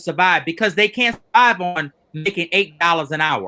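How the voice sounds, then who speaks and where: A man talks in a raised, projected voice, high-pitched with a bright, sharp tone and ordinary pitch variation. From Louisiana. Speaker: educator, former school principal. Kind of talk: panel discussion.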